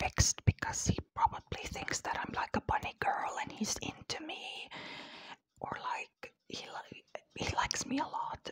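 A woman whispers. She keeps a fairly slow pace. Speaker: ASMR creator. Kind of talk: ASMR whisper ramble to camera. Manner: whispered, cupped close to the mic; tired, soft. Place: home room. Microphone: lapel.

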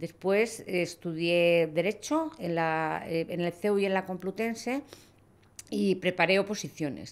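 A woman in a Castilian accent, with a fairly low pitch, ordinary pitch variation and a fairly slow pace. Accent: Castilian Spanish (central Spain). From Spain, Toledo (Castilla-La Mancha). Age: 60s. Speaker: lawyer and hunting club president. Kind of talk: podcast interview. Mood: warm, nostalgic. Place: studio. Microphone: studio mic.

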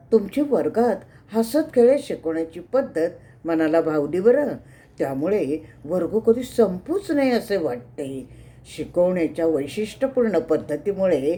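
With a dark, mellow tone, a woman's fairly low pitch moves through very wide swings. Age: 70s. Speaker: meditation class student. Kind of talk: testimony. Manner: halting.

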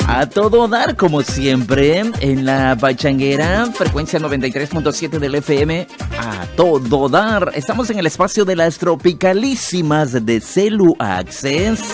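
A man speaks at a fairly slow pace and fairly high pitch, with very wide pitch swings and hardly any pauses. Clear music plays in the background, and the sound is dry with no echo. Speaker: radio announcer. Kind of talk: live radio DJ talk with sponsor read. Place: studio. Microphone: studio mic.

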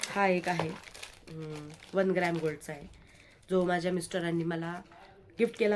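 A woman speaks with a fairly low pitch in a monotone, flat delivery. Noticeable background noise can be heard. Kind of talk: product showcase vlog. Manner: casual, chatty.

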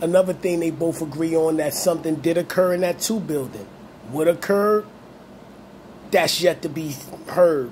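A man with an American accent at a high pitch and a moderate pace, ordinary pitch variation, long, frequent pauses, and light background noise. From Brooklyn, New York (Brownsville); Brooklyn, New York. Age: 40s. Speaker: YouTube channel host. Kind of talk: monologue video commentary. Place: home room. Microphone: phone near.

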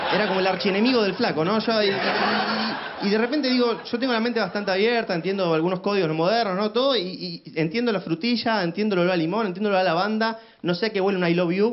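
A man with a Rioplatense accent talks at a very fast pace with hardly any pauses, using a high pitch and ordinary pitch variation. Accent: Argentine Rioplatense Spanish. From Argentina. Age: 20s. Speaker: comedian; stand-up comedian. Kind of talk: stand-up. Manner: halting, repeated 'y, y, y'. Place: studio. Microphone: handheld.

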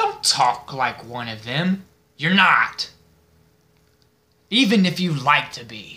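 Using a put-on character voice, a man speaks fairly slowly at a fairly high pitch, with long, frequent pauses. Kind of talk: film monologue audition. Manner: mocking, menacing, slow and deliberate.

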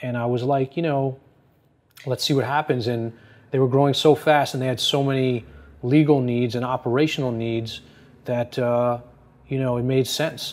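A man with an American accent speaks at a moderate pace in a monotone, flat intonation, broken by long, frequent pauses. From US Northeast (New Jersey). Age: 40s. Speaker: fashion consultant and former lawyer. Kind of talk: interview. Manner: casual, many fillers. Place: office.

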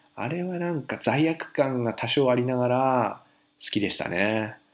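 In a very clean recording with a silent background, a man with a plain, everyday voice at medium pitch uses lively intonation. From Japan, Fukushima. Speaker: haiku poet, parent living in Paris. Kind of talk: casual monologue segment.

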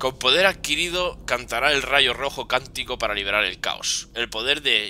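The voice reads in a natural way. Nothing about it sounds put on.

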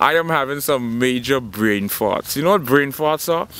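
The sound is dry with no echo as a man speaks with lively intonation. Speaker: actor. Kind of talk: comedic monologue to camera. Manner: casual, playful. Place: garden. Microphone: phone near.

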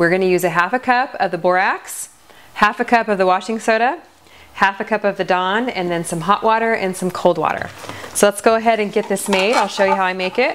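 A woman speaks at a medium pitch and a fairly quick pace, with few pauses and ordinary pitch variation.

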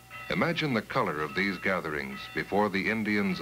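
Clear background music behind a man's fairly low voice at a moderate pace. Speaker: documentary narrator. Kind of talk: documentary narration. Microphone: old recording.

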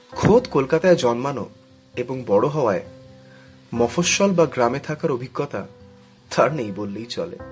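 A man talks at a medium pitch. Music can be heard behind him. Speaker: storyteller narrator. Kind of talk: horror story narration.

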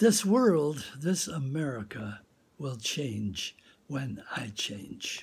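A man's somewhat breathy voice with very wide pitch swings. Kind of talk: inspirational talk and reading. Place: home room. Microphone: phone near.

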